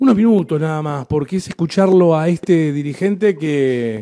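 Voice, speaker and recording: The voice has a dark, mellow tone and a Rioplatense accent. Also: man. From Buenos Aires Province, Argentina (General Madariaga area). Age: 30s. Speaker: radio host. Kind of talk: radio interview.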